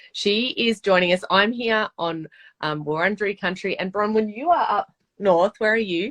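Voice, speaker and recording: With an Australian accent, a woman talks at a moderate pace and medium pitch with ordinary pitch variation, the sound dry and close with no echo. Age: 30s. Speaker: author and podcast host. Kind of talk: casual chat. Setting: video call.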